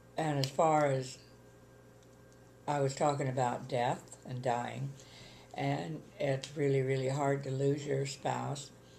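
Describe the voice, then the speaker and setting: A woman's very deep, low voice with a dark, mellow tone, fairly even intonation and a very slow pace, broken by long, frequent pauses, with audible room echo. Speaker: retired widow. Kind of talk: interview.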